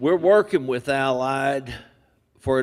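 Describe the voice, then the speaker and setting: A man with a strong West Texas accent on a very clean recording with a silent background. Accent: deep West Texas. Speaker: industry speaker. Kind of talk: seminar talk. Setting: seminar room, seated. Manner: slow.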